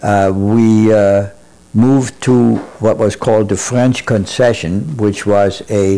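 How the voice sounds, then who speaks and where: With a German accent, a man speaks at a fairly low pitch. His pace is fairly slow, and his pitch variation is ordinary. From Germany, Berlin. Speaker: Holocaust survivor. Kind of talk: oral history interview. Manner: halting, many fillers.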